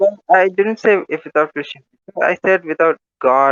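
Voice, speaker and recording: A man speaks at a moderate pace. He has an Indian accent. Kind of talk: debate. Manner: halting, many fillers.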